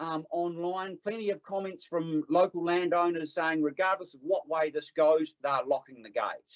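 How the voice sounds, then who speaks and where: This man talks at a moderate pace in a high pitch, with a New Zealand accent. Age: 50s. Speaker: public submitter at council hearing. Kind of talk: public submission at council hearing. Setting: council meeting room. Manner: animated.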